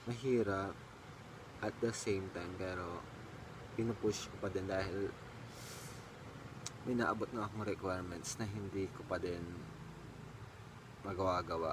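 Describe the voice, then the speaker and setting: Against noticeable background noise, a man with a fairly low pitch talks at a moderate pace with long, frequent pauses. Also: fairly even intonation. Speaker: vlogger. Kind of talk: casual vlog chat. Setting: at home.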